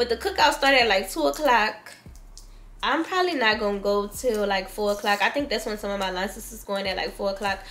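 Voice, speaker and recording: A woman speaks at a fairly quick pace with lively intonation over light background noise. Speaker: vlogger. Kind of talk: casual vlog chat. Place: home room. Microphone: camera far.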